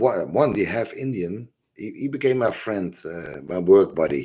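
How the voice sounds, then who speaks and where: A man with a Dutch accent at a moderate pace. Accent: obvious Dutch. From Netherlands. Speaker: religious and history video host. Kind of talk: casual monologue livestream. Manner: halting, many fillers.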